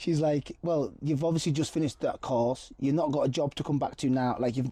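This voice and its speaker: A man speaks at a fairly quick pace in a Cumbrian accent. His fairly high voice carries a dark, mellow tone. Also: fairly even intonation, very even loudness. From Appleby, Cumbria, England. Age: 30s. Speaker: model, actor and singer. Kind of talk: interview answer.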